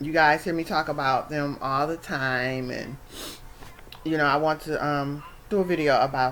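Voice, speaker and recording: The speech moves at a moderate pace with fairly even intonation, over noticeable background noise. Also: woman, very deep, low pitch for a woman. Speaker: vlogger. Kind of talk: personal vlog.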